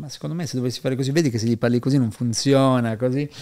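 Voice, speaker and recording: Over a quiet background, a man speaks very fast in a medium pitch with ordinary pitch variation and a dark, mellow tone. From Piedmont, Italy (Asti); born Parma to Neapolitan parents; Piedmont, Italy. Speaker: entrepreneur and performance coach; performance coach. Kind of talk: podcast interview. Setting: studio in Milan, face to face. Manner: animated, profane. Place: studio. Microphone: studio mic.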